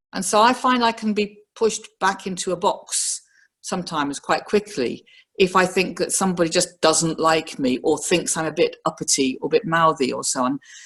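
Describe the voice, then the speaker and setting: Speaking at a moderate pace, a woman uses lively intonation at a medium pitch. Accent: slight northern English. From northern England, Liverpool. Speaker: professional woman speaking on career experience. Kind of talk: personal reflection talk.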